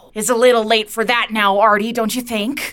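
This is a put-on character voice. Its tone is menacing. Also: woman. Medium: audio drama. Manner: menacing, contemptuous, taunting; repetitive, accusing.

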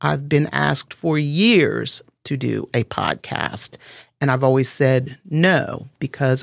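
A woman speaks with a very deep, low pitch and vocal fry. She takes a fairly slow pace. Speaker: podcast host. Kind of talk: interview, conversational. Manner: warm, chatty.

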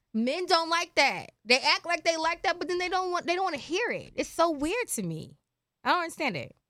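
A raised, projected voice with a bright, sharp tone moves at a fairly quick pace on a very clean recording with a silent background. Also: woman, extremely high pitch for a woman, lively intonation. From Philadelphia. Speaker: podcast co-host. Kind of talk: casual chat. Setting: studio.

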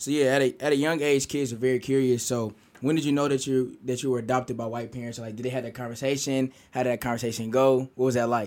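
Speaking very fast with hardly any pauses, a man holds a medium pitch. His intonation is monotone and flat. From US Midwest, Kansas City, Missouri. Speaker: student podcast host. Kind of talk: casual interview podcast.

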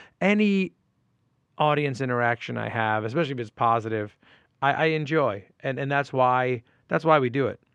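A fairly high-pitched man at a fairly quick pace against a quiet background. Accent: New York. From New York, Westchester County (Port Chester). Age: 40s. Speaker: comedian. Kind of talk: casual chat.

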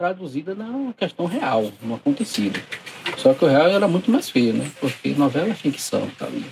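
Over noticeable background noise, a man with a high voice speaks at a moderate pace with very wide pitch swings. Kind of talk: interview.

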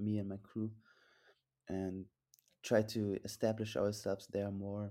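A man speaks in a dark, mellow tone. His pitch sits fairly low. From Germany. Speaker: tricker and photographer, videographer. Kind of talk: casual chat. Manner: halting.

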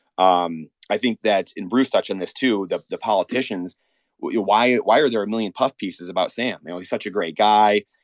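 A man speaks at a fairly low pitch with ordinary pitch variation. The sound is dry and close with no echo, over a quiet background. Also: moderate pace. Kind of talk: casual chat. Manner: animated.

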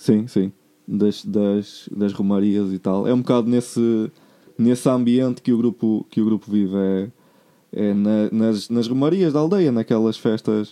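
A dark, mellow tone comes through at a fairly slow pace with fairly even intonation. The background is quiet. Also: man, medium pitch for a man, very even loudness. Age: 20s. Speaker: musician and music producer. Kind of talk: casual chat.

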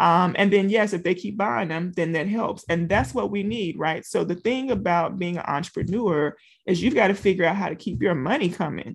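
With a Southern US accent, a woman speaks at a medium pitch and a moderate pace, hardly pausing, over a quiet background. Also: ordinary pitch variation. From Louisiana. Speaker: teacher and business coach. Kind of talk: interview.

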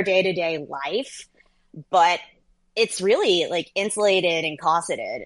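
A woman with an unremarkable speaking voice and an American accent talks at a moderate pace. Her pitch is fairly low with ordinary pitch variation. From US, child of Vietnamese refugees. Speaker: political journalist and author. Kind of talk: interview.

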